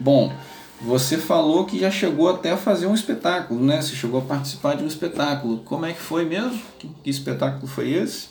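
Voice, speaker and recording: A fairly high-pitched man at a fairly quick pace with lively intonation, plus audible room echo and noticeable background noise. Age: 30s. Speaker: neuropsychologist and podcast host. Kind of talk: casual interview and educational talk.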